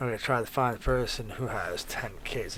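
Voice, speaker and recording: A man speaks at medium pitch. His pace is moderate. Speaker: cybersecurity streamer. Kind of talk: live tutorial stream. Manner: monotone; halting, many fillers.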